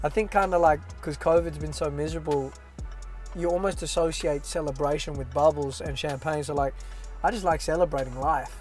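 Fairly quick speech from a man, faint background music, and a dry sound with no echo. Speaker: interview guest. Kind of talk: casual interview answer. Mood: relaxed, joking. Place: car.

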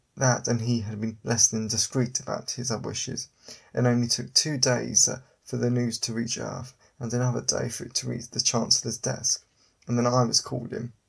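A man talks at a moderate pace with vocal fry. His intonation stays flat and monotone. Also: medium pitch for a man. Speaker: audiobook narrator and author. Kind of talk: dramatic first-person audiobook narration of a sci-fi assassin story.

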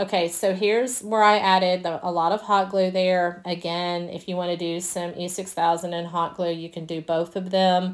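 The speaker has a Southern US accent and a moderate pace. Their intonation is monotone and flat. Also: woman, fairly low pitch for a woman. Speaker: DIY crafter. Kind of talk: tutorial. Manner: casual, hesitant with fillers.

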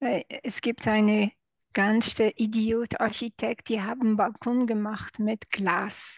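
In a somewhat breathy, fairly high voice with a non-native accent, a woman speaks at a very slow pace in a monotone, flat intonation, with a dry sound with no echo and a quiet background. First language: not German (speaking German). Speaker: audience member asking a question; audience member. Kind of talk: Q&A question. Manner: halting. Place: home room. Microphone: video call.

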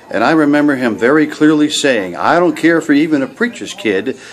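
A man's voice moves at a moderate pace while light background noise sits behind it. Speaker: missionary evangelist. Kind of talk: personal religious testimony. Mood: earnest, grateful. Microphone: webcam.

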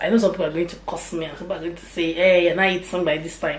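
There is audible room echo and light background noise as a woman talks at a fairly low pitch. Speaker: mom vlogger. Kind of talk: casual vlog chat. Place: kitchen. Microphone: phone near.

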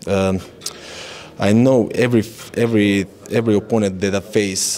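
Over light background noise, a man with a Croatian accent speaks in a fairly low pitch and monotone, flat intonation. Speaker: MMA fighter. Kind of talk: interview. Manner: halting. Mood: calm, confident. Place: hall. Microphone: handheld.

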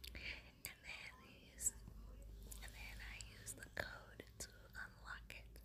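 At a very slow pace, a woman speaks with big swings in loudness over noticeable background noise. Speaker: ASMR creator. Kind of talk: casual talk to camera, ASMR show and tell.

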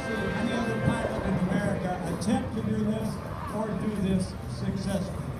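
A man at a fairly quick pace, with music in the background and audible room echo. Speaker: airshow announcer. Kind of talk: commentary. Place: open country.

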